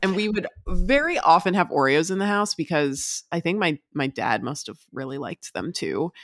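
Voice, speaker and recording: On a very clean recording with a silent background and a dry, close sound with no echo, a woman with a plain, everyday voice speaks at a moderate pace in a medium pitch with lively intonation. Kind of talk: casual chat.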